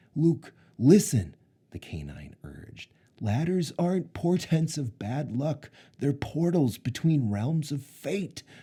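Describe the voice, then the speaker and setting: Using a put-on character voice, a man speaks at a fairly slow pace with a fairly high pitch. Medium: read story. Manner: earnest, urgent.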